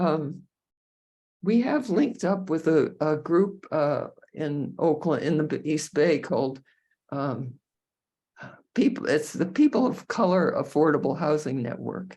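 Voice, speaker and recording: Speaking at a fairly slow pace with long, frequent pauses, a woman uses lively intonation in a very deep, low voice with a dark, mellow tone. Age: 80s+. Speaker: co-housing community resident. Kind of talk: interview conversation. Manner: halting, many filler words.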